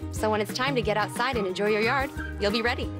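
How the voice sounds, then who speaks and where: A woman talks while music is clearly heard in the background. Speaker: actor. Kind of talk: TV commercial read. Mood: friendly, upbeat. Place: shop.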